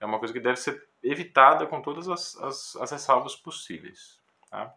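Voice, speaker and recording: The man's tone is bright and sharp, with ordinary pitch variation. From Brazil. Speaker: music professor and classical guitarist; music professor. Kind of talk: educational talk to camera. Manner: hesitant, with frequent filler words. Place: home room. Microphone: phone near.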